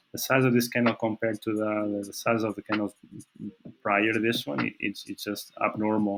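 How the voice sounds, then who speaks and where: With a Portuguese accent, a man speaks at a moderate pace. His voice is fairly low, with fairly even intonation. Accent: non-native English, Portuguese. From Portugal. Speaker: trading analyst. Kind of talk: technical analysis commentary. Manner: halting, many fillers and repetitions.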